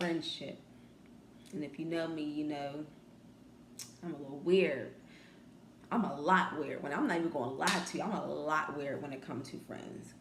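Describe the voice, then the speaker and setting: Soft-spoken and very deep, low for a woman, her voice moves at a moderate pace with ordinary pitch variation, big swings in loudness and long, frequent pauses, amid noticeable background noise and audible room echo. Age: young. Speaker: vlogger. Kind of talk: casual chat.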